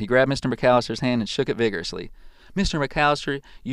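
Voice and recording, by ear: A natural voice reads the passage aloud.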